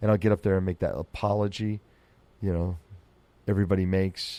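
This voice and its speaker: A man with an American accent, fairly low in pitch, dark and mellow in tone, flat and monotone in intonation, at a moderate pace, in a dry, close sound with no echo on a very clean recording with a silent background. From US Southwest desert. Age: 50s. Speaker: comedian. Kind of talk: podcast monologue. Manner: casual rambling. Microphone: studio dynamic mic, mouth on foam.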